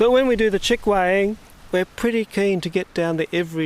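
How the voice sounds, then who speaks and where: This man has an Australian accent. He talks at a fairly quick pace with ordinary pitch variation. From Australia, Sydney. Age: 60s. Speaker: wildlife conservationist. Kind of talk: interview. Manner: casual.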